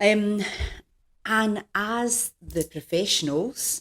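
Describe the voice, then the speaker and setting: A woman with a Scottish accent and ordinary pitch variation, in a dry, close sound with no echo. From Scotland, Glasgow. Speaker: executive coach. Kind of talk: podcast interview.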